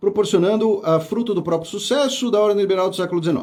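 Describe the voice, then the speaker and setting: Lively intonation runs through this man's speech. He talks at a high pitch. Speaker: history teacher. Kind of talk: live exam review lecture. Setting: studio. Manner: fast.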